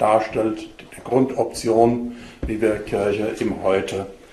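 There is audible room echo and light background noise as a man speaks at a fairly low pitch. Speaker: bishop giving a talk. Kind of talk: lecture. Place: hall. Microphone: podium.

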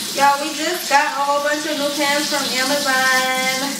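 Against loud background noise and audible room echo, a woman talks at a fairly slow pace. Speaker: home cook vlogger. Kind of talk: casual vlog chat. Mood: playful, relaxed. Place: kitchen. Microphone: camera far.

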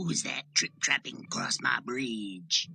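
Using a put-on character voice, a man speaks at a medium pitch and a fairly slow pace. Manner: menacing, demanding.

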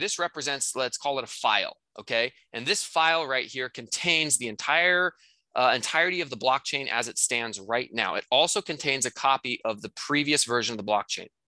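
With a bright, sharp tone, a man talks at a moderate pace using lively intonation. The sound is dry with no echo, and the background is quiet. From North Dakota. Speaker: real estate course instructor. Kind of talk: casual chat; tutorial. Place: home room. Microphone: headset.

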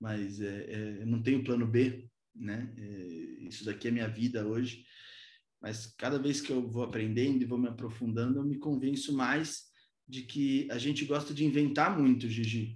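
The speech moves at a moderate pace with fairly even intonation. Room echo is audible over a quiet background. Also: man, medium pitch for a man. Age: 20s. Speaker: politician. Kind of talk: talk to a virtual business breakfast. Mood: earnest, reflective. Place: home room. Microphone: video call.

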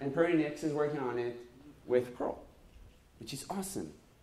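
The speech moves at a moderate speed. Room echo can be heard around it. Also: man. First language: not English. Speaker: conference keynote speaker. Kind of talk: keynote talk. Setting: stage with audience. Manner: humorous, self-deprecating. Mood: enthusiastic, humorous. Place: hall. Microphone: handheld.

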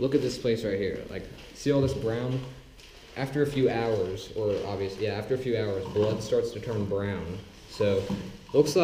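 Over light background noise and audible room echo, a man is speaking. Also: ordinary pitch variation, moderate pace. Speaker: urban explorer vlogger. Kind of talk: casual vlog chat. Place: empty room. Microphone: phone near.

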